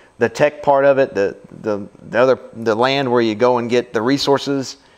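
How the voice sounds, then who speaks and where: Speaking in a Louisiana accent, a man keeps a medium pitch and fairly even intonation at a moderate pace. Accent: Louisiana Southern US. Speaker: board game reviewer. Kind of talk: casual chat.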